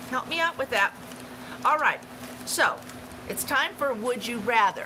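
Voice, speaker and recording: A woman speaks at a moderate pace in a high pitch, with noticeable background noise behind her. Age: 60s. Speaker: travel channel livestream host. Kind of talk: casual livestream chat. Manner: halting, many fillers.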